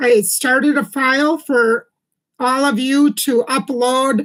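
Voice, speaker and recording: Fairly even intonation runs through a woman's high voice. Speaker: herbal health livestreamer. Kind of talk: live stream chat. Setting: live stream. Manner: halting with many ums.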